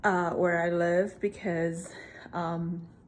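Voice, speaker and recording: A medium-pitched woman's voice in a relaxed tone, with a Spanish accent. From Puerto Rico. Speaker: vlogger. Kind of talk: casual vlog chat. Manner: relaxed, hesitant with fillers.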